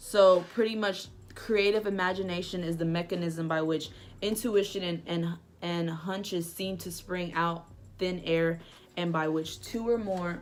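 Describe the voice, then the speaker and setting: The voice moves at a fairly slow pace with fairly even intonation. Room echo is audible. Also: woman, fairly low pitch for a woman. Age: 20s. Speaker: book reviewer vlogger. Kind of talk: casual vlog book review.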